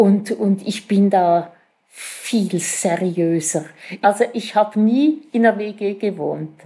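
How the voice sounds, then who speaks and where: The pace of this woman's speech is very slow. Her voice sits at a medium pitch. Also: ordinary pitch variation. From Switzerland, Winterthur. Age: old. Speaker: retiree, cooperative resident. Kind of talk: interview.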